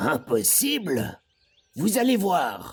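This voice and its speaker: A put-on character voice at a middle pitch moves at a very slow pace with very wide pitch swings. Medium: read story. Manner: brusque.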